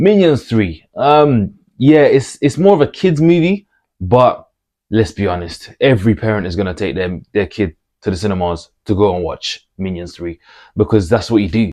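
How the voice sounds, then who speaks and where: A man with a Birmingham accent, fairly low pitch and a dark, mellow tone, at a fairly quick pace against a quiet background. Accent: Brummie. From Birmingham, England. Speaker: movie commentator YouTuber. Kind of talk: casual vlog monologue. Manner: casual, hesitant with fillers and repetitions.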